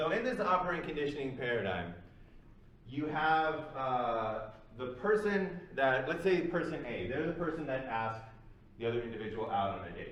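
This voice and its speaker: A man speaks at a moderate pace and fairly high pitch, with very wide pitch swings. Noticeable background noise and audible room echo fill the recording. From Canada, Toronto. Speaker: psychology lecturer. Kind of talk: lecture. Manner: casual, conversational with fillers.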